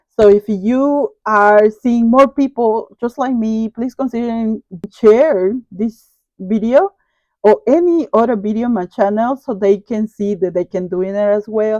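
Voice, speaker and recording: Speaking with a Latin American accent, a woman with a fairly high pitch and a dark, mellow tone talks at a fairly slow pace with ordinary pitch variation, the sound dry and close with no echo. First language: Spanish. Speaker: online reseller. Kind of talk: casual vlog talk to viewers.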